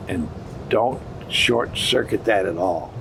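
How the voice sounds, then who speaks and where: Amid noticeable background noise and audible room echo, a man talks very slowly with ordinary pitch variation. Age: 80s+. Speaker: dairy farmer and businessman. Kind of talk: interview. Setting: dairy expo. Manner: halting.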